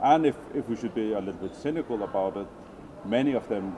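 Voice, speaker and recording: Speaking fairly quickly with a Faroese accent, a man uses medium pitch and ordinary pitch variation. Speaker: swimming federation president. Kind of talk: interview. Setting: convention venue. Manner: halting.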